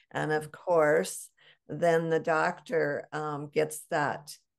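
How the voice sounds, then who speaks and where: The speaker is a woman. The background is quiet. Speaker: podcast host. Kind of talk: casual interview chat. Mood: warm, enthusiastic. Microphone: webcam.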